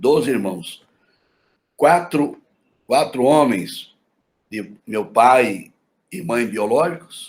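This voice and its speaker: At a very slow pace with long, frequent pauses, a man with a fairly high pitch talks with very wide pitch swings and big swings in loudness. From Mato Grosso do Sul, Brazil (Campo Grande, Aquidauana). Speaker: pastor. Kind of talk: interview testimony.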